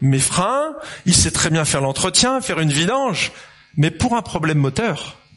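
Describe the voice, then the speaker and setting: At a fairly slow pace, a man with a high pitch speaks in very wide pitch swings over noticeable background noise. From France, Lyon. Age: 50s. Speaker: pastor. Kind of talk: sermon. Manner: animated.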